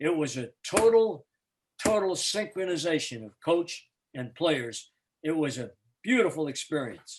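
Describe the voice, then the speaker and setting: In an animated tone with an American accent, a man with a fairly high pitch speaks at a fairly slow pace, with very wide pitch swings and big swings in loudness. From Boston, New England. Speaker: retired basketball play-by-play announcer. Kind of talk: storytelling interview.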